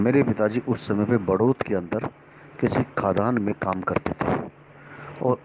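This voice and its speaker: Noticeable background noise sits behind a man's voice. He has a fairly low pitch and ordinary pitch variation. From Haryana, India (Gurgaon). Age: 40s. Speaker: astrologer. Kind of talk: group discussion, personal testimony.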